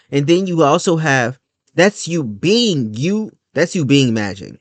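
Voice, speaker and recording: A man talks at a fairly slow pace with lively intonation against a quiet background. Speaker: spirituality vlogger. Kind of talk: casual monologue vlog. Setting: recording at computer.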